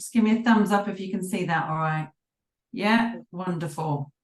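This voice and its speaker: The voice is somewhat breathy, with a British accent. Its pitch variation is ordinary. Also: woman. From UK. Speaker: business coach and mentor trainer. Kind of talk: online workshop presentation. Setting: video call.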